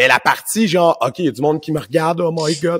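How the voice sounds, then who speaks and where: In a Quebec accent, a man with a fairly high pitch talks at a fairly quick pace on a very clean recording with a silent background. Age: 40s. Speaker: martial arts instructor and podcast host. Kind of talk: casual conversation.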